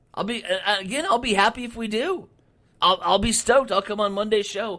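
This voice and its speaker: A man with an American accent speaks in a raised, projected voice at a fairly quick pace. His high voice has a bright, sharp tone and ordinary pitch variation. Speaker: sports radio host. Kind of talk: casual chat. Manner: loud.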